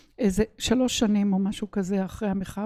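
A woman speaks at a medium pitch with fairly even intonation and a dark, mellow tone. The recording is very clean, with a silent background. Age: 70s. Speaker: organizational consultant. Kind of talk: interview.

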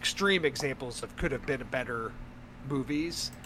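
With music playing in the background, a man talks at a moderate pace in a fairly high voice with ordinary pitch variation. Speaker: podcast host. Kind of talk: casual chat.

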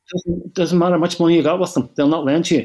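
A man with a Northern Irish accent in a very clean recording against a silent background. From Northern Ireland, Belfast. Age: 60s. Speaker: property investor. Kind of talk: casual chat.

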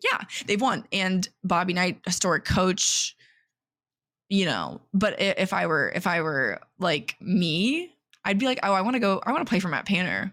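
Recorded very cleanly against a silent background, a woman with an ordinary speaking voice talks at a medium pitch and a moderate pace, with ordinary pitch variation and very even loudness. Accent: American. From Indiana, US Midwest. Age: 20s. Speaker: podcast co-host. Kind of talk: casual chat.

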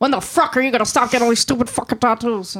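A put-on character voice, female-sounding, fairly high-pitched and very fast. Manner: scolding, annoyed.

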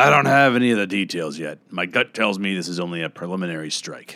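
A man puts on a raspy character voice, very deep and low, talking very fast with lively intonation. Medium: read story. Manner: terse, deferential.

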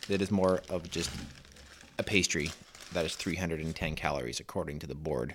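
Speaking at a fairly quick pace, a man with a very deep, low pitch and vocal fry leaves long, frequent pauses. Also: ordinary pitch variation. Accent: Canadian prairie. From Saskatchewan. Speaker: podcast panelist. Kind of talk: casual chat.

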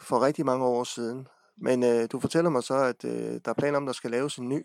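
A man speaks in an ordinary speaking voice, medium in pitch and moderate in pace. The recording is very clean with a silent background, and the sound is dry and close with no echo. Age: 40s. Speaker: local radio host. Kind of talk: interview.

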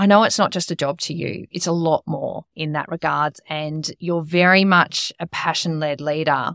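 A woman with an unremarkable speaking voice talks at a moderate pace, her pitch fairly low. The recording is very clean and dry, close with no echo, a silent background, and hardly any pauses. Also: fairly even intonation. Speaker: podcast host. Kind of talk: interview questions.

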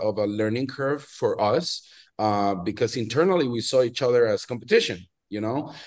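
With a Venezuelan accent, a man speaks at a moderate pace and medium pitch against a quiet background. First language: Spanish. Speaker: watch brand founder and collector. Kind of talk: casual interview chat.

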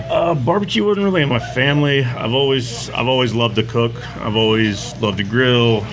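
A man speaks at a fairly quick pace with medium pitch and lively intonation, his loudness very even. Audible room echo and noticeable background noise surround him. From Texas, Katy. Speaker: barbecue restaurant owner. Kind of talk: casual interview. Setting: at his restaurant.

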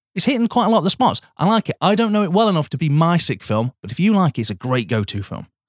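In an English accent, a man speaks at a very fast pace with hardly any pauses, his high voice making very wide pitch swings, in a very clean recording with a silent background and a dry, close sound with no echo. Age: 30s. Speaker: podcast co-host. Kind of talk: casual chat.

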